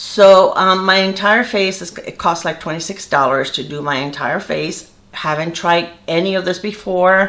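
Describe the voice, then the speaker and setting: Using a normal speaking voice, a woman talks at a moderate pace and medium pitch with ordinary pitch variation, hardly any pauses, and big swings in loudness. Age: 60s. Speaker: beauty vlogger. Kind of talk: makeup tutorial. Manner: casual, with many fillers.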